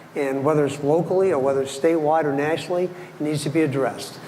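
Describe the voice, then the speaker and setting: Amid noticeable background noise and audible room echo, a man with a fairly high pitch talks at a very fast pace with fairly even intonation. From Maine (Ellsworth). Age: 70s. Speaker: city council candidate. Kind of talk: candidate forum speech. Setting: stage with audience.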